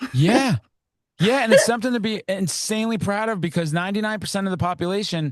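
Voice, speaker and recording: A man speaks loudly in a high pitch with an energetic tone. His pace is very fast. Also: ordinary pitch variation. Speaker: podcast host. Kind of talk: casual chat.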